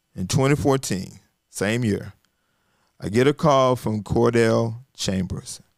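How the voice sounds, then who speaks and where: A man speaks with a Southern US accent at a fairly slow pace, his intonation lively. The recording is very clean, with a silent background. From US South, Arkansas. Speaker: communication coach and business founder. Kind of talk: casual interview storytelling. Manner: repetitive false starts.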